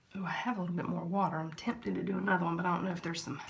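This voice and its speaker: A woman with a Southern US accent talks very fast at a fairly low pitch, her intonation fairly even. Room echo is audible, and background noise is noticeable. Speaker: vlogger. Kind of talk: product test vlog. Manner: casual, chatty.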